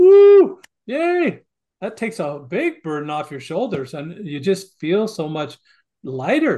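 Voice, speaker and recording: A man with a Western US accent speaks in a dark, mellow tone with very wide pitch swings. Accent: American, western US. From Montana. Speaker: author and family educator. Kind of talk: interview.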